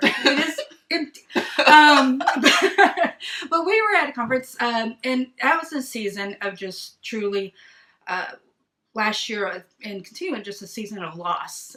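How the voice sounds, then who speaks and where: A woman with a slight Southern US accent has a high pitch, a bright, sharp tone and very wide pitch swings. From East Texas. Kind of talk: casual chat. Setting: video livestream. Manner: loud.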